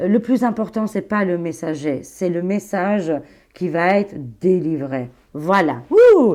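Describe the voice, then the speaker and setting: Against a quiet background, a woman speaks very slowly with lively intonation. Her pitch is medium and her tone dark and mellow. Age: 40s. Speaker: tarot reader and psychic YouTuber. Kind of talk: casual chat to viewers. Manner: animated, informal youthful speech; halting with fillers and slips.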